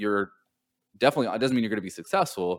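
A man with an American accent uses an ordinary speaking voice, fairly low in pitch with ordinary pitch variation. The recording is very clean, with a silent background. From Southern California. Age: 30s. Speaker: entrepreneur, startup consultancy owner. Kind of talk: podcast interview.

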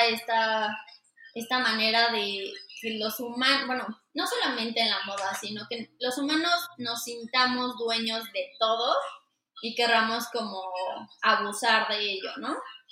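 Spoken at a fairly slow pace with fairly even intonation, the voice carries audible room echo. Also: woman. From Mexico City. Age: 20s. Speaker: fashion designer. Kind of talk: interview.

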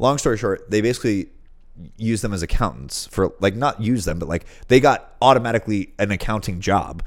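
On a very clean recording with a silent background, a man with a fairly low pitch talks at a fairly quick pace in an unremarkable speaking voice with ordinary pitch variation. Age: 30s. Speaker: podcast co-host. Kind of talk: casual chat.

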